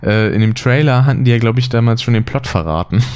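This man talks very fast at a medium pitch, keeping his intonation fairly even. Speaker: podcast host. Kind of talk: casual chat. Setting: home recording, sitting side by side. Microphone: poor audio quality, less noise removal.

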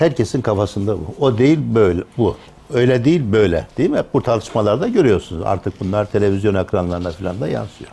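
Fairly low-pitched and somewhat breathy, a man talks fairly quickly in a dark, mellow tone with lively intonation. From Turkey, Tokat. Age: 60s. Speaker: retired theology professor. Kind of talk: lecture.

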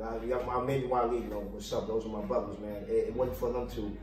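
Very fast speech from a man amid noticeable background noise and audible room echo. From Brooklyn, New York. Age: 50s. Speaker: street dancer. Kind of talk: casual chat.

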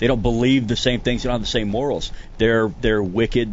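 A man's medium-pitched voice is heard with audible room echo. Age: 40s. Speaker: retired special forces soldier and custom rod builder. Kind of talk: casual chat.

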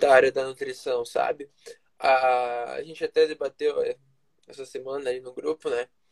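The man's delivery keeps a moderate pace with long, frequent pauses and big swings in loudness, the sound dry and close with no echo. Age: 20s. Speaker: nutrition student, former footballer. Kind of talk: casual interview chat.

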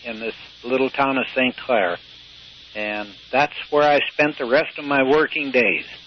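Noticeable background noise surrounds a man with an Upper Midwestern accent. His fairly high pitch shows ordinary pitch variation. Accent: Upper Midwestern American. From US Midwest, Michigan. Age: 80s+. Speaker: retired sailor, blind school graduate. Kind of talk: interview. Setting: phone call. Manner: halting.

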